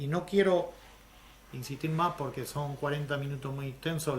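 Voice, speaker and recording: Audible room echo surrounds a man with an Andalusian accent and a fairly high pitch. He sounds somewhat breathy, speaking at a moderate pace with fairly even intonation. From Andalusia, Spain. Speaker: lecturer on social economy. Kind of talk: lecture.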